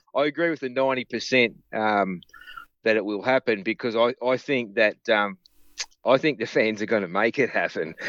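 A man speaks in an unremarkable speaking voice at a medium pitch and a moderate pace. His pitch variation is ordinary, and the sound is dry and close with no echo. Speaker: guest co-host. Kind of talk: casual chat.

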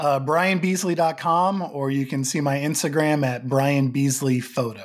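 A man with an American accent and a plain, everyday voice at a fairly high pitch, with ordinary pitch variation, a fairly slow pace, hardly any pauses and a very clean recording with a silent background. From Oklahoma. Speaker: film director. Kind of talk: interview.

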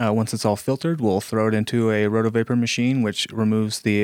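A man with an American accent speaks at a moderate pace in a plain, everyday voice. The recording is very clean with a silent background and a dry, close sound with no echo. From Florida Panhandle, small town. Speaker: cannabis cultivation manager. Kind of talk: casual interview.

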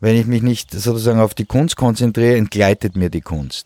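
Medium-pitched man with a dark, mellow tone, moderate pace and ordinary pitch variation, in a dry, close sound with no echo on a very clean recording with a silent background. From Switzerland. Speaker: painter. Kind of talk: interview. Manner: halting.

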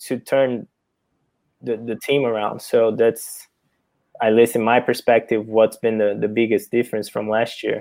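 A man with a Portuguese accent, dark and mellow in tone, monotone and flat, at a moderate pace. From Brazil. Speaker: professional soccer player. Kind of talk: interview.

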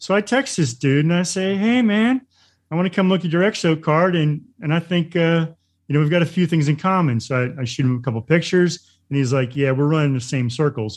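In a normal speaking voice, a man with a fairly high pitch talks at a fairly quick pace with lively intonation. His loudness stays very even over a quiet background. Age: middle-aged. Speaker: podcast co-host. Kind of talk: casual interview.

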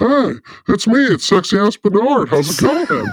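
A put-on character voice, fairly high in pitch, moves at a moderate pace. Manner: cocky.

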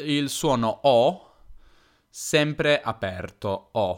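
On a very clean recording, the background is silent. A man speaks at a fairly high pitch. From northern Italy, Piedmont (Turin). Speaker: language teacher podcaster. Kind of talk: casual educational monologue. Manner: hesitant, with fillers and self-repairs.

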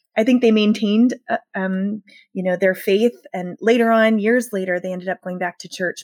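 A woman speaks in an ordinary speaking voice with an American accent, fairly high in pitch, at a moderate pace with ordinary pitch variation. The very clean recording has a silent background and a dry, close sound with no echo. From US South, rural Southern Maryland. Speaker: pastor and author. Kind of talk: interview.

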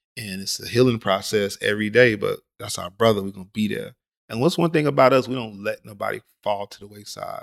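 Recorded very cleanly against a silent background, a plain, everyday voice moves at a fairly quick pace with a dry, close sound and no echo. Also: man. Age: 40s. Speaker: tattoo artist and painter. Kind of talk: casual interview chat. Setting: studio.

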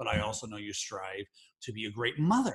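A man's fairly low, fairly bright voice with big pitch swings and a slightly husky edge. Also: fairly quick pace.

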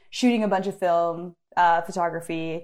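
A woman with an American accent and an ordinary speaking voice talks at medium pitch and a moderate pace, her intonation fairly even. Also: very clean recording, silent background. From US Pacific Northwest (Bend, Oregon). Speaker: climber and photographer. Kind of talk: casual interview chat. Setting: internet call.

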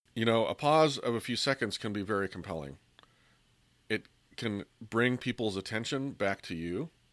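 Against a quiet background, a man speaks with lively intonation in a dry, close recording with no echo. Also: moderate pace. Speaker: podcast host. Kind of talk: solo podcast talk on persuasion tips.

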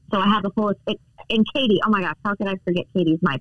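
A woman talks very fast at a medium pitch with an American accent. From North Carolina, Charlotte. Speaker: real estate agent. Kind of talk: interview. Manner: animated.

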